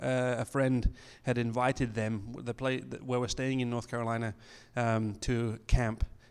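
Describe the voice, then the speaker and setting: At a fairly slow pace, a man with an English accent keeps his medium pitch in fairly even intonation, recorded very cleanly with a silent background. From England. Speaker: missionary. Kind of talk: church talk. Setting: church. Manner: halting.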